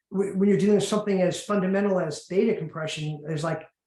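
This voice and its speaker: A man talks with an intense tone at a high pitch, his intonation fairly even. Room echo is audible around him. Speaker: patent attorney. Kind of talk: webinar presentation. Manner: fast, intense; halting, many repetitions.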